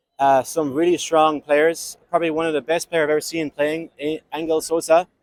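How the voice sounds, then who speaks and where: A man with an Irish accent, fairly high in pitch, at a fairly quick pace with monotone, flat intonation, in a dry, close sound with no echo. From Ireland. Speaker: amateur softball player. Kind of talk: podcast interview.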